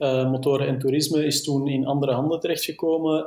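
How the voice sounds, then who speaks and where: A man's fairly high, dark, mellow voice with a Flemish accent, monotone and flat in intonation, at a moderate pace. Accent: Flemish Dutch. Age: 30s. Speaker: motorcycle journalist. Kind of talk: casual interview.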